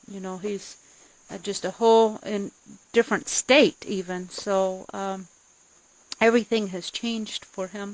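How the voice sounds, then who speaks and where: A woman with a medium pitch speaks at a fairly slow pace with fairly even intonation, long and frequent pauses, and big swings in loudness. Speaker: rabbit breeder. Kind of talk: casual video blog. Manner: halting, many fillers.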